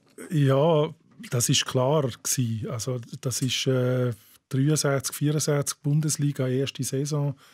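Speaking at a very slow pace, a man sounds somewhat breathy, his intonation fairly even. The background is quiet. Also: fairly high pitch for a man. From Bavaria, south of Munich. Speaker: writer and football poet; football poet. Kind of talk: casual chat. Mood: relaxed, chatty. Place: studio. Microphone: studio mic.

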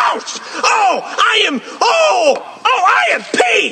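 Shouting in a cartoonish character voice, a man is heard over clear background noise. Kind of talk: comic overacting. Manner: indignant, loud, rambling.

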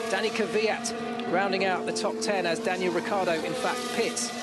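A man's high-pitched, animated voice at a moderate pace, with ordinary pitch variation, a dry sound free of echo, and clear music behind it. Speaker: radio presenter and commentator; radio presenter, commentator. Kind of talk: live radio race commentary. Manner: brisk, fluent, animated. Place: booth.

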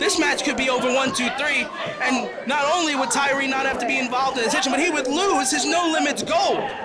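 Over crowd noise, a raised, projected voice comes through with an animated tone, a fairly quick pace and ordinary pitch variation. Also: man. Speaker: wrestling color commentator. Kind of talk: live wrestling commentary. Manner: animated, fast, breathless.

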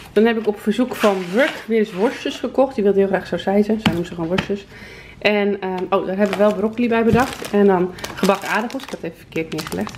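A woman talks at a very fast pace with medium pitch and fairly even intonation, her loudness swinging widely over noticeable background noise. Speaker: vlogger. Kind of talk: casual vlog monologue. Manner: chatty, casual.

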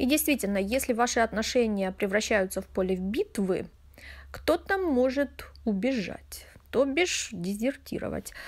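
On a very clean recording with a silent background, a woman speaks at a fairly slow pace in a fairly high pitch, her intonation lively and her loudness very even. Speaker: tarot reader. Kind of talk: tarot reading monologue. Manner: chatty, conversational.

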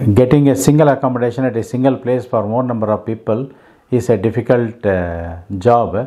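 A man speaks with a dark, mellow tone and ordinary pitch variation. His pace is moderate against a quiet background. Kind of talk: announcement to viewers. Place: home room.

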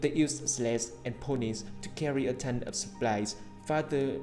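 A man with a Vietnamese accent talks over faint music in the background. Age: young. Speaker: English learner. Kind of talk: reading aloud an English article. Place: home room. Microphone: earbuds.

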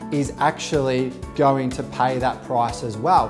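Clear music is heard in the background. Over it, a man talks. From Inner-West (Australia). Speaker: auctioneer. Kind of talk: casual talk to camera, promotional profile interview. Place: home room. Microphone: lapel.

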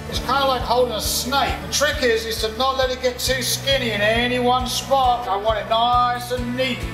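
Over clear background music, a man projects an extremely high, raised voice in a flat monotone at a moderate pace, with hardly any pauses. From United Kingdom. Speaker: master baker. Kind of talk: baking instruction. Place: kitchen.

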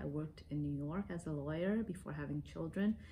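Against light background noise, a woman with an American accent speaks in a very deep, low voice that is somewhat breathy and dark and mellow in tone, with ordinary pitch variation. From US, raised there after leaving Vietnam as a child. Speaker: lawyer, immigrant interviewee. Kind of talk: interview testimony. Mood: calm, reflective. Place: home room.

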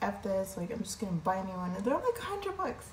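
There is audible room echo and light background noise as a woman talks at a very fast pace. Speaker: home vlogger. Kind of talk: casual vlog chat. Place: kitchen.

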